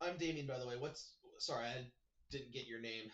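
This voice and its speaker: A man's put-on character voice at medium pitch and a fairly quick pace. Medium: actual play. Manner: casual, friendly.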